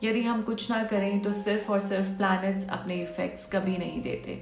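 A woman speaks at a fairly slow pace with a monotone, flat intonation while faint music plays in the background. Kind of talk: direct-to-camera talk on yearly horoscope. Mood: warm, advising. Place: home room. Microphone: phone near.

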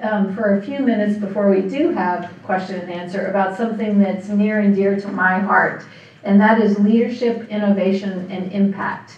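In a room with audible echo, a woman talks at a moderate pace with hardly any pauses. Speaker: guest. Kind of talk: lecture. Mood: warm, smiling, light humor. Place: hall.

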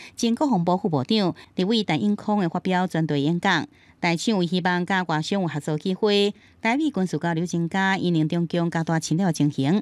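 A woman speaks at a moderate pace in a fairly low voice, with ordinary pitch variation and very even loudness. The sound is dry and close with no echo, on a very clean recording with a silent background. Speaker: news reporter. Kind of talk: news report narration.

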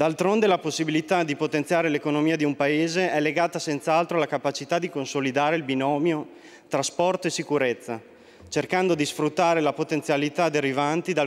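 A man talking at a fairly quick pace, fairly high in pitch, with very even loudness and fairly even intonation. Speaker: member of parliament. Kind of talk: parliamentary oratory, political statement; parliamentary speech. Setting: parliament chamber. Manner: formal, reading prepared text. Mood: solemn, condolent. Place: hall. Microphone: podium.

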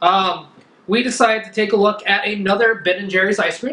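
Here a man speaks with a high pitch. Audible room echo is present. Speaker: food reviewer. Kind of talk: casual review chat. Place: home room. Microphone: camera far.

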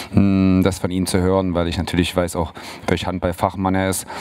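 Flat, monotone intonation marks this man's very deep, low-pitched voice. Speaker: handball team coach. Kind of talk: press conference statement. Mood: relaxed, occasionally laughing. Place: hall. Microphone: handheld.

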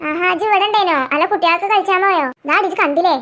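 A female-sounding, squeaky cartoonish character voice at an extremely high pitch and a fairly quick pace.

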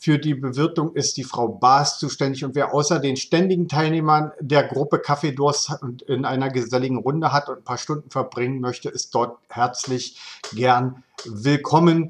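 A man keeps fairly even intonation and a moderate pace, with a quiet background behind him. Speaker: local news video host. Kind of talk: local news presentation. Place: home room. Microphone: webcam.

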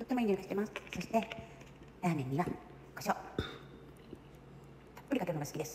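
Noticeable background noise sits behind a woman with lively intonation. She speaks very fast yet leaves long, frequent pauses. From Fukuoka, Japan. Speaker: home cook and vlogger. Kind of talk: casual cooking vlog talk to camera. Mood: cheerful, relaxed. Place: home room. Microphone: phone near.

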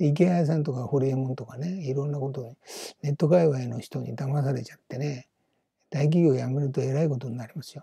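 A man speaks fairly quickly in a somewhat breathy voice with a dark, mellow tone and fairly high pitch. His intonation is fairly even while his loudness swings a lot. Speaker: business YouTuber, retired company employee. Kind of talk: solo video monologue. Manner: casual, rambling with many fillers.

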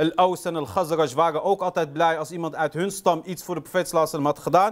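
Against a quiet background, a man talks at a moderate pace in a high pitch. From Rif region, northern Morocco (Riffian heritage); Morocco. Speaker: Islamic lecturer; lecturer. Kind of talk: lecture. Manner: hesitant, many fillers. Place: hall.

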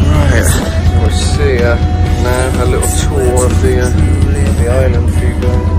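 A man is speaking. Music plays in the background. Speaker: travel vlogger. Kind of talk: casual vlog chat. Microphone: phone near.

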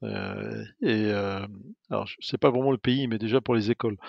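The pace of this man's speech is moderate. He holds a medium pitch and varies it in an ordinary way. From France, Normandy (Fécamp). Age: 50s. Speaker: energy company executive. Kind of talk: interview. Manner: halting, many hesitations.

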